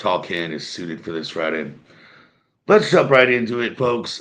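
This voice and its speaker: Lively intonation marks a man's medium-pitched voice. He speaks at a fairly slow pace, with audible room echo. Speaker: sports podcast host. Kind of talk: casual sports commentary monologue. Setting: home setup, drinking a beer. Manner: casual, with frequent fillers.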